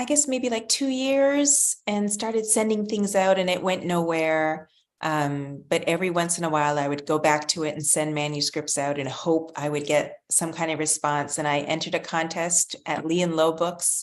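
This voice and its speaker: A woman speaks at a fairly low pitch with lively intonation. Her pace is moderate, and the background is quiet. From Canada, Ontario (Pickering/Toronto area). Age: 50s. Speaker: children's author. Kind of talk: interview.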